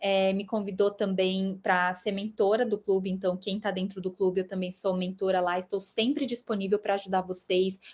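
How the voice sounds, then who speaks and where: Spoken at a moderate pace with hardly any pauses. The intonation is monotone and flat. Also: woman, medium pitch for a woman. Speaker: UX writer giving a talk. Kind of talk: talk closing thanks; lecture.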